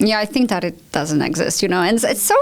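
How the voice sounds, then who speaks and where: Over noticeable background noise, a woman with a Polish accent speaks at a fairly quick pace with very wide pitch swings. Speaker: language school owner. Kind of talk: podcast conversation.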